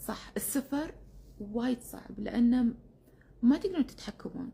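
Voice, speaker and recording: Somewhat breathy, a woman with a Kuwaiti accent speaks in a dark, mellow tone at a moderate pace with ordinary pitch variation. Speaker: keto diet influencer. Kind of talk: instagram live chat. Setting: instagram live stream. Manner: casual with many fillers.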